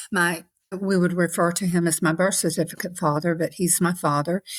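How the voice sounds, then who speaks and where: The speaker keeps a moderate pace and fairly even intonation. The recording is very clean with a silent background. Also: woman. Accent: Southern US. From US South, Savannah, Georgia. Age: 60s. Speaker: podcast guest. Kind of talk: interview, personal testimony.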